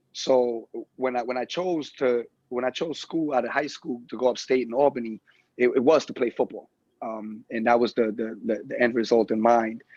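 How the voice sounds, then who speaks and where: A man with a New York accent at a moderate pace, medium in pitch, fairly even in intonation, with a dry, close sound and no echo. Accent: New York City. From New York City (Brooklyn, East Flatbush). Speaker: gym owner and personal trainer. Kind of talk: podcast interview. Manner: halting, many repeated words.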